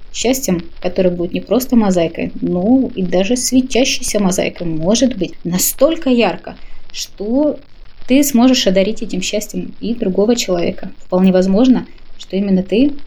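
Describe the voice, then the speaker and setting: A woman with a dark, mellow tone speaks at a moderate pace and medium pitch, somewhat breathy and with ordinary pitch variation. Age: 30s. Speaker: podcast contributor sharing views on happiness. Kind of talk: personal reflective monologue.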